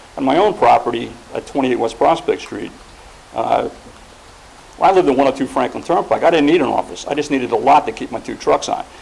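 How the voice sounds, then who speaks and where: Noticeable background noise sits behind the voice. The delivery is very fast. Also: man. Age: 70s. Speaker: property owner and developer speaking at a planning board. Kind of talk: public comment at a municipal meeting.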